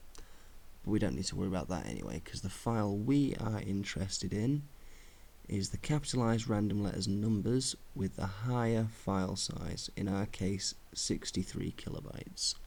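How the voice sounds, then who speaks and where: Here a man talks at a moderate pace. His fairly low voice shows ordinary pitch variation. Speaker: gaming tutorial narrator. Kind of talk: unscripted screen-recording tutorial narration. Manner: casual, conversational.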